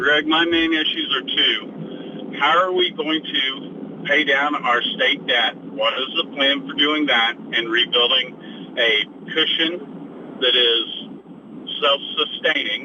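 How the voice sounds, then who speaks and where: Over noticeable background noise, a man speaks at a very slow pace with very even loudness. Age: 80s+. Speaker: caller. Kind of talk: call-in comment. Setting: phone call.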